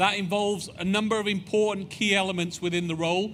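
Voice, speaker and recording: Audible room echo surrounds a man with a British accent who talks at a very fast pace in a high pitch with fairly even intonation. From United Kingdom. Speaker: space agency executive. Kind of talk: public presentation.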